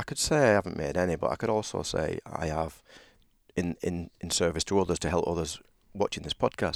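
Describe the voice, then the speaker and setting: In a British accent, a man speaks fairly quickly with a very deep, low pitch and ordinary pitch variation, in a dry, close sound with no echo on a very clean recording with a silent background. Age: 50s. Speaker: men's leadership coach. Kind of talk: casual chat.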